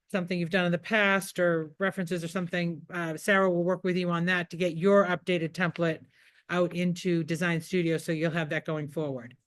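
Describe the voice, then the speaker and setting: A woman with an American accent, fairly low-pitched and fairly quick, her intonation monotone and flat over a quiet background. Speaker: real estate trainer. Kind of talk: training workshop. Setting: office meeting with zoom participants. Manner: fast.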